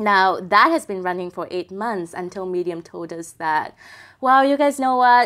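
Lively intonation marks this voice in a Vietnamese accent, with big swings in loudness. The recording is very clean, the background silent. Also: woman, medium pitch for a woman, moderate pace. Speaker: tech publication executive. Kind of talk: interview.

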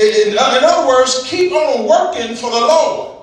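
A man talks in an animated tone with lively intonation over noticeable background noise. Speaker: preacher. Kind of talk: preacher's sermon to a live congregation, with call-and-response. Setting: church with congregation. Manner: animated, exhorting, repetitive with refrains like "keep on pushing anyhow"; voice a bit weak, not at full strength.

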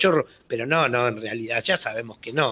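A man speaks with ordinary pitch variation. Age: 60s. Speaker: former bank robber. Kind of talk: radio interview. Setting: phone call.

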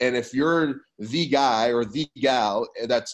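With an American accent, a man uses a normal speaking voice at a medium pitch. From California. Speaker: fitness business consultant. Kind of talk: casual chat.

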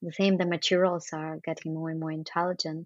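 A woman with a fairly low pitch speaks over a quiet background. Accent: Russian. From Russia. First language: Russian. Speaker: architect and artist. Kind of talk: interview. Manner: hesitant, many fillers.

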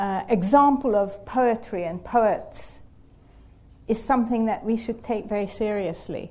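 Fairly high in pitch, a woman speaks at a very slow pace with a dark, mellow tone and fairly even intonation. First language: not English. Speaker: human geneticist. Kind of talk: panel discussion. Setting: live event with audience.

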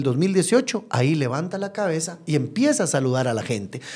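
Fairly quick speech from a man with a dark, mellow tone and very wide pitch swings. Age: 40s. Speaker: mayoral candidate. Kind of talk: interview.

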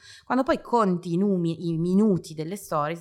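A woman with a fairly low pitch talks at a fairly quick pace, her pitch varying in an ordinary way. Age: 40s. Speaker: marketing professional and parenting influencer. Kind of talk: interview. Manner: talkative.

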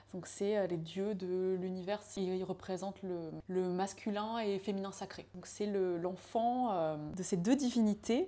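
Pitch rises and falls in an ordinary way as the words come out very slowly. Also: woman. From France, Laval. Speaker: yoga teacher and former fashion designer. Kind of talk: casual chat. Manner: halting, many hesitations.

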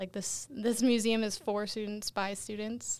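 The clip has an ordinary speaking voice at a moderate pace. The recording is very clean, with a silent background. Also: woman. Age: young. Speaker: college student and museum associate. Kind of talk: casual chat.

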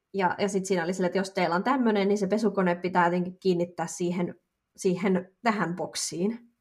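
This woman has a normal speaking voice, medium in pitch, with fairly even intonation. She talks at a fairly quick pace and keeps her loudness very even. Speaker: podcast co-host. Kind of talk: casual chat.

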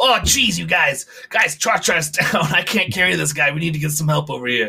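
A man does a put-on character voice, his pitch fairly high and his pace moderate. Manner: alarmed, urgent.

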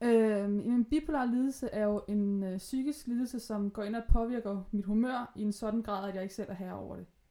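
A woman speaks at a moderate pace with hardly any pauses, her dark, mellow tone carrying ordinary pitch variation and big swings in loudness. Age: 20s. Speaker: podcast guest with bipolar disorder. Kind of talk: casual chat. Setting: at guest's home, sewing machine in background.

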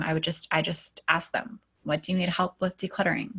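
Somewhat breathy, a woman speaks at a moderate pace on a very clean recording with a silent background. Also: dry, close sound with no echo. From Alaska. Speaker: decluttering coach. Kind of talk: casual interview.

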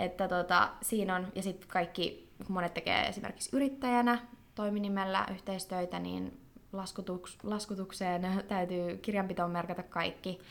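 In an ordinary speaking voice, a woman speaks at a medium pitch and moderate pace with fairly even intonation. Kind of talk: casual interview. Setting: studio.

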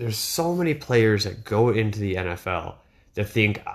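A man with an American accent is heard on a very clean recording with a silent background. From Wisconsin, Kenosha County. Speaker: sports podcaster. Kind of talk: solo podcast monologue. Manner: rambling with frequent fillers.

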